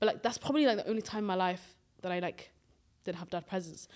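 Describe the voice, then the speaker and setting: Talking at a very fast pace, a woman speaks in a British accent. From grew up in the UK from age nine, Swedish-born, Somali family. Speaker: podcast co-host. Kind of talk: casual chat.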